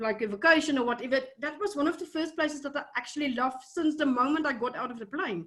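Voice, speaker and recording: Her pitch is high and varies in an ordinary way. The woman speaks with a South African accent. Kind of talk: casual interview conversation. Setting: video call. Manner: hesitant, many fillers.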